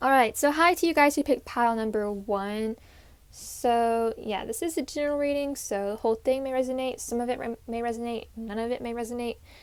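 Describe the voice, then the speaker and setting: Her high pitch, ordinary pitch variation and fairly quick pace mark this woman's speech. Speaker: tarot reader. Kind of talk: tarot reading. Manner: halting, with restarts.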